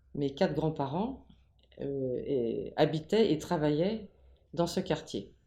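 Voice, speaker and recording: A woman speaks at a very slow pace with long, frequent pauses. Her voice is very deep and low, with a dark, mellow tone. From Paris region, France (Ivry-sur-Seine). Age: 80s+. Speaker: local elder interviewed about town history. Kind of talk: interview. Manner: halting, many hesitations.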